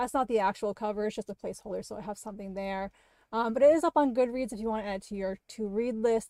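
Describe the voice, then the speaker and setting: With an American accent, a woman talks very fast in a fairly high pitch and a dark, mellow tone, her pitch varying in an ordinary way, on a very clean recording with a silent background and a dry, close sound with no echo. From Maine, US. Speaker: horror fiction writer. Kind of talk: casual livestream chat. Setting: livestream.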